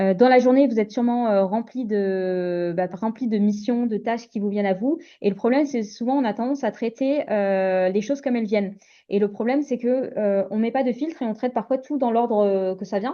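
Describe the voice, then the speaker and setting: At a fairly quick pace, a woman talks in a fairly high pitch with ordinary pitch variation. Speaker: mindset coach for entrepreneurs. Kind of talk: webinar presentation. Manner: fast; hesitant, many fillers.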